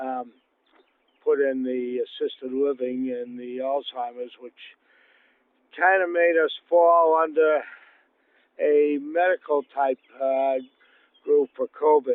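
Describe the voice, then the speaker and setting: Long, frequent pauses break up a man's very slow speech. His fairly high voice keeps a fairly even intonation. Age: 70s. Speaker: senior citizen interviewee, retired government inspector. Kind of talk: casual interview, personal account. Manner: halting, with frequent fillers and repeats.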